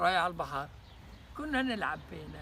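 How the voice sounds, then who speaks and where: A man speaks with a Palestinian accent. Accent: Palestinian rural Arabic. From Palestine, Haifa region. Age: 80s+. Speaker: Nakba survivor, refugee. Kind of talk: oral history interview answer.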